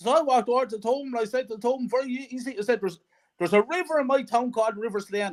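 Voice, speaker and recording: Talking at a very fast pace, a man with a Wexford Irish accent has an extremely high pitch, an animated tone and ordinary pitch variation. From Ireland, County Wexford. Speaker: football fan. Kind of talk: casual interview chat.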